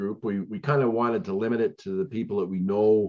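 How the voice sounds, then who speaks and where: This man has a Western Canadian accent and a fairly low voice. He talks fairly quickly with ordinary pitch variation against a quiet background. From Onoway, Alberta, Canada; Alberta, Canada. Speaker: president of a seniors social club; guest. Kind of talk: talk to a community discussion group. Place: home room. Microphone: video call.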